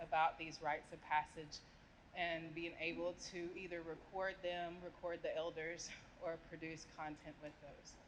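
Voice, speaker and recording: Fairly low in pitch, a woman speaks at a fairly slow pace. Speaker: audience member, author. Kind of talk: audience question. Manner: loud.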